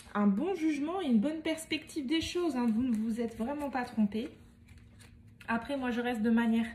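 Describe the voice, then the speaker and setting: Speaking at a fairly quick pace with long, frequent pauses, a woman with a high pitch shows ordinary pitch variation. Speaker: medium giving tarot card readings. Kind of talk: tarot reading guidance.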